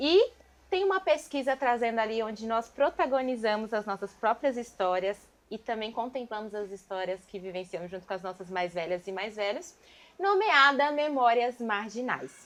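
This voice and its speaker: A woman with an ordinary speaking voice talks at a moderate pace, her fairly high pitch carrying lively intonation. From São Paulo East Zone periphery. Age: 30s. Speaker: dance group member and show host. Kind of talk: casual talk show chat.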